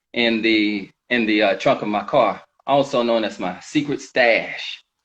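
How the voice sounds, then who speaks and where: Medium in pitch with ordinary pitch variation, the man's speech comes in a plain, everyday voice. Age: 40s. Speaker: sober veteran sharing recovery story. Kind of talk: testimony. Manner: reading a prepared story.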